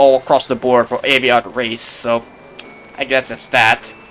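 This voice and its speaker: A man speaks. Noticeable background noise runs underneath. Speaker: gaming YouTuber. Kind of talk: gameplay commentary. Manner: halting.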